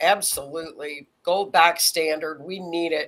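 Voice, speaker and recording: On a very clean recording with a silent background, a woman speaks. Her pace is very slow. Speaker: astrology livestream host. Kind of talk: casual live-stream chat.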